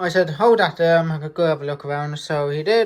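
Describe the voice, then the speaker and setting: A woman with a British accent talks in a fairly low pitch with ordinary pitch variation. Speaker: model railway hobbyist vlogger. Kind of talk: casual update vlog. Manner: loud, energetic; hesitant with many fillers.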